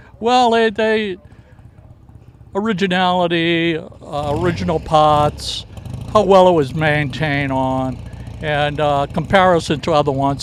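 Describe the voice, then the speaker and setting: A man speaks with a Boston accent and lively intonation, his pitch fairly high. His pace is moderate, with noticeable background noise behind him. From US Northeast, Boston area (Dorchester). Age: 70s. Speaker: motorcycle owner at a show. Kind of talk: casual interview. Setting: outdoors at a fairground show. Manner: hesitant, many filler words.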